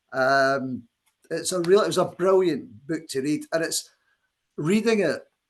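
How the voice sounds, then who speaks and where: This man speaks in a Scottish accent with a high pitch and lively intonation. His pace is fairly slow, with long, frequent pauses. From Scotland. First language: Scots. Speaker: poet. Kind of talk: poetry reading event with commentary.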